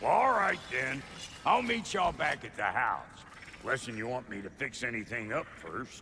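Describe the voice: A man puts on a character voice at medium pitch, with a bright, sharp tone and vocal fry. His pitch swings widely as he speaks at a fairly slow pace.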